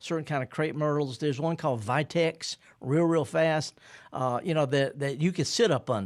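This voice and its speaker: A man speaks in a fairly high pitch with a Mississippi accent. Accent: Mississippi accent, kept. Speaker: horticulturist radio host. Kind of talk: radio call-in show. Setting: radio studio. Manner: laid-back.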